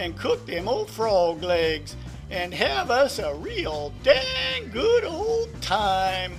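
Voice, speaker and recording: A man speaks in a cartoonish character voice at a very slow pace. Clear music plays in the background. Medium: puppet.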